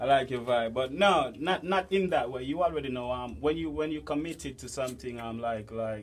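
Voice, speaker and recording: In a room with audible echo, a man with a Jamaican accent talks at a moderate pace with lively intonation. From Jamaica, St. Thomas. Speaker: dancehall artist. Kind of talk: interview.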